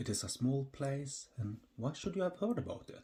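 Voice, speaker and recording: A man with a Norwegian accent speaks at a moderate pace in a dark, mellow tone that is somewhat breathy. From Norway. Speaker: podcast host. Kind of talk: humorous educational podcast narration. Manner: dry, humorous.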